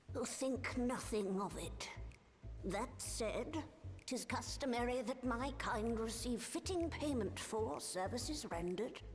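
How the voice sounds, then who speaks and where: A female-sounding voice performs a put-on character at a fairly slow pace over clear background music. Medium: video game. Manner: archaic, formal phrasing.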